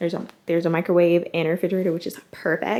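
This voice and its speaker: A woman is whispering. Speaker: vlogger. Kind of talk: casual vlog chat. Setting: hotel room.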